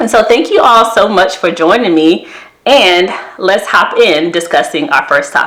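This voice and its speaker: Lively in intonation, a woman speaks at a moderate pace against noticeable background noise. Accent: American. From US South. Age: 30s. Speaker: therapist and wellness vlogger. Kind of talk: casual vlog talk to camera.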